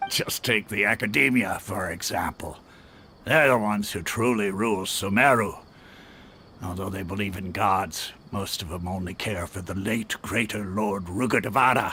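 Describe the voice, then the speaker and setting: Using a put-on character voice, a man speaks raspily in a fairly low pitch at a moderate pace. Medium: video game. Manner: relaxed, laughing.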